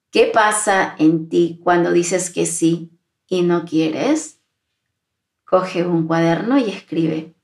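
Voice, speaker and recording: Speaking very slowly, a woman uses a somewhat low pitch. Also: ordinary pitch variation. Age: 40s. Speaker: podcast host and employability mentor. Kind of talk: solo podcast monologue. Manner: warm, intimate.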